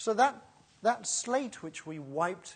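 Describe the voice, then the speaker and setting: Her tone bright and sharp, a woman speaks in an animated way with very wide pitch swings. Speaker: preacher. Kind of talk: sermon.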